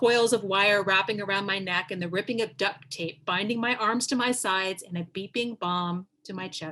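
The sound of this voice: Reading in an unforced voice, the speaker shows normal pitch movement.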